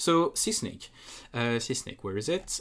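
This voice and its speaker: In a very clean recording with a silent background, a man speaks in a French accent. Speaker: speedrunner. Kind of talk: casual game analysis commentary.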